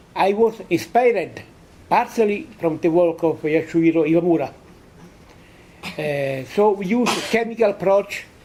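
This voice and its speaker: Over noticeable background noise, someone with an Italian accent speaks at a fairly slow pace. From Italy. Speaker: physicist. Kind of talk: conference lecture. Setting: conference hall with audience. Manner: halting, many hesitations.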